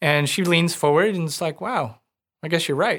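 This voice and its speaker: Vocal fry marks this very fast speech, heard on a very clean recording with a silent background. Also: man. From rural Missouri. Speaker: financial planner. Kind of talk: interview. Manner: casual.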